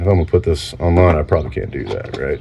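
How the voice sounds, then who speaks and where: A man's speech comes through with noticeable noise behind it. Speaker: vlogger. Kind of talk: casual chat. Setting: home garage workshop. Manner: halting.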